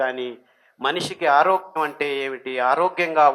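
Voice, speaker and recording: Fairly high for a man, this voice has ordinary pitch variation. He has an unremarkable speaking voice. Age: 60s. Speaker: millet diet advocate. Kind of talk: public speech on health and diet.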